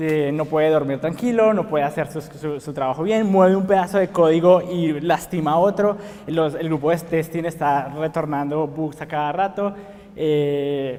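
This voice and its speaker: Noticeable background noise behind a man at a fairly high pitch, moderate pace and ordinary pitch variation. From Colombia, Bogotá. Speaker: software engineer, conference speaker. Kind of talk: conference talk. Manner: frequent filler words (eh, pues).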